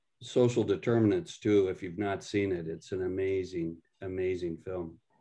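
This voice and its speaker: The voice has a dark, mellow tone and an American accent, with ordinary pitch variation. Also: man. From western Nebraska. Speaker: meeting moderator. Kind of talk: group video meeting discussion.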